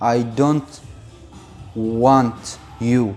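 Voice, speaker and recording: Music plays in the background. Over it, a man speaks with a Syrian accent. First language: Arabic. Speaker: Arabic teacher. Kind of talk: language lesson to camera. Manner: casual, friendly.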